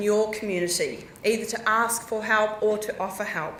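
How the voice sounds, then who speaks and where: A woman speaks at a moderate pace, with audible room echo and noticeable background noise. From New Zealand, South Island. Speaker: geologist. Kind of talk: conference talk. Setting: stage with audience. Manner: animated.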